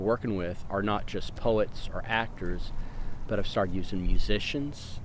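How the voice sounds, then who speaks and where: Amid audible room echo, a man with an American accent talks at a moderate pace with ordinary pitch variation. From Houston, Texas. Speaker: poet. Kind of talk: casual monologue. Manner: halting.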